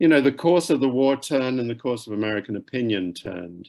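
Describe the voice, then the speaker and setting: A man with a British accent and ordinary pitch variation. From UK. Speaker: author. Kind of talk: author talk. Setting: library event, in person and via Zoom.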